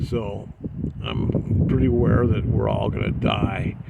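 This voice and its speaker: A man speaks at a fairly slow pace with an American accent. Noticeable background noise and audible room echo surround him. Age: 50s. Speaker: travel vlogger. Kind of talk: casual vlog monologue. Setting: outdoors in a side by side vehicle. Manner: halting, many fillers.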